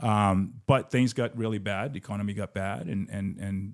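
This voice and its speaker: A man with a Portuguese accent and fairly low pitch, on a very clean recording with a silent background. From Brazil. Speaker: business founder and real estate investor. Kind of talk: casual interview.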